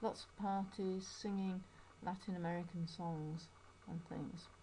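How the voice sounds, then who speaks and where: The speaker has a Yorkshire accent. The pace is fairly slow. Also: woman. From Yorkshire, northern England. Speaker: English teacher. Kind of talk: personal video narration.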